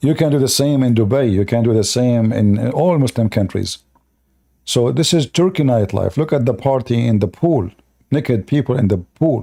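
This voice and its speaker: With an Arabic accent, a man speaks at a medium pitch with ordinary pitch variation, very even loudness and a dark, mellow tone, on a very clean recording with a silent background. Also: moderate pace. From Middle East. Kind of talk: live stream commentary.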